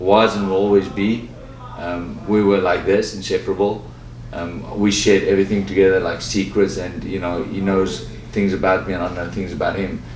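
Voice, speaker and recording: A man with a South African accent speaks in a fairly low pitch with ordinary pitch variation. Noticeable background noise and audible room echo surround him. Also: moderate pace. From South Africa, Johannesburg. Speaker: professional boxer. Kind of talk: interview.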